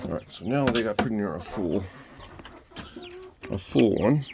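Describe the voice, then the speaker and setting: Speaking at a moderate pace, a man with a fairly low pitch is heard over noticeable background noise. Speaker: homesteader vlogger. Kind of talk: casual vlog walkthrough.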